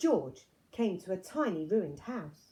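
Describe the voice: Her dark, mellow tone marks this woman's voice. She talks at a slow pace with big pitch swings.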